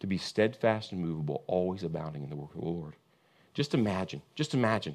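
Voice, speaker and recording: With lively intonation, a man with a very deep, low voice talks at a fairly quick pace. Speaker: pastor. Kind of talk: sermon. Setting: church.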